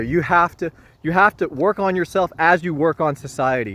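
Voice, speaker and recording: A loud man speaks at a high pitch with ordinary pitch variation. The sound is dry and close with no echo, over a quiet background. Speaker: spiritual vlogger. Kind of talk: casual spiritual monologue. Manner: improvised, informal.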